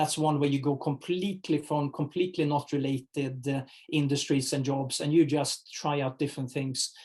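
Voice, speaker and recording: A man with a non-native accent speaks at a moderate pace in a somewhat breathy, fairly high-pitched voice with monotone, flat intonation. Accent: foreign accent, noticeable. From Sweden. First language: Swedish. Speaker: HR executive. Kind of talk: interview. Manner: halting, many fillers.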